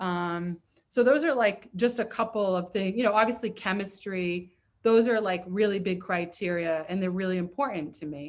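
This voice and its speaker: A woman speaks in a normal speaking voice at a moderate pace, her pitch medium with ordinary variation. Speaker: therapist and comedy show host. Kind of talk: casual chat. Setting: video call.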